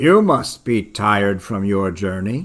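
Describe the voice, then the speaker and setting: On a very clean recording with a silent background, a put-on character voice moves at a fairly slow pace. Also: man. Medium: read story.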